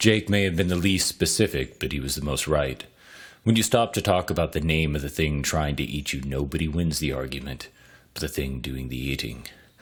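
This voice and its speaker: There is vocal fry in this man's very deep, low voice as he talks at a fairly quick pace with ordinary pitch variation. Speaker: podcast host and story reader. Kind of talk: reading aloud.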